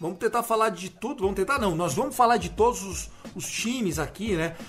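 A man speaks in an animated tone at a high pitch with ordinary pitch variation. His pace is fairly quick, and there is noticeable background noise. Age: 30s. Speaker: podcast host. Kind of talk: casual chat.

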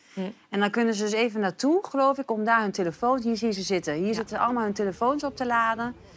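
A woman talks at a very fast pace with hardly any pauses. Her voice is fairly high, with ordinary pitch variation. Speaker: talk show presenter. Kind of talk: live talk show. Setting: studio.

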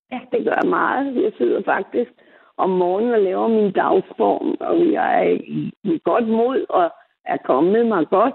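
A woman with a fairly high voice speaks very slowly, her pitch swinging very widely. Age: 70s. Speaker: caller. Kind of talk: phone-in call.

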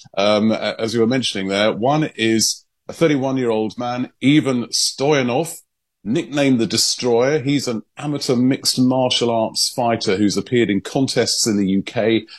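At a moderate pace, a man speaks in a normal speaking voice with a medium pitch. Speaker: London-based news correspondent. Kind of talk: newsreading, briskly delivered. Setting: radio link-up with studio. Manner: fluent, measured, conversational.

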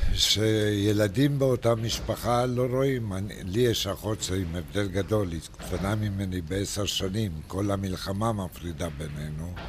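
The speaker goes at a fairly slow pace with hardly any pauses and ordinary pitch variation. Noticeable background noise and audible room echo are present. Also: man, fairly low pitch for a man. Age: 80s+. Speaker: retiree. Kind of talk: casual chat.

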